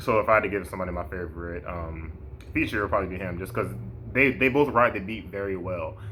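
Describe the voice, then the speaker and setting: Amid audible room echo and noticeable background noise, a man talks very fast with lively intonation in a very deep, low voice. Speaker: music reviewer / podcast host. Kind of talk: casual album review vlog. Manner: hesitant, many false starts and fillers.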